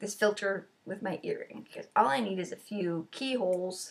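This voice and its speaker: A somewhat breathy woman at a medium pitch and moderate pace. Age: 40s. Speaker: vlogger. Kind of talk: casual chat.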